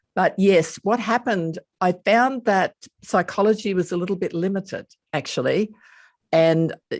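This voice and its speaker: A woman speaks with a slight Australian accent and lively intonation at a moderate pace. The recording is very clean with a silent background and a dry, close sound with no echo. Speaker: hypnotherapist and author. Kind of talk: interview podcast.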